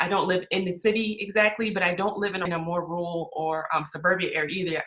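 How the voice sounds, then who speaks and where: Talking at a very fast pace, a woman with an American accent keeps a medium pitch and fairly even intonation. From US South, Charleston, South Carolina. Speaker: real estate agent. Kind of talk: casual chat. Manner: hesitant, many fillers.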